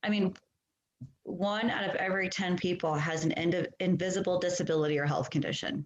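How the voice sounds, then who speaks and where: Speaking with a normal speaking voice, a woman uses lively intonation, a medium pitch and a fairly quick pace. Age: 40s. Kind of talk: podcast interview answer.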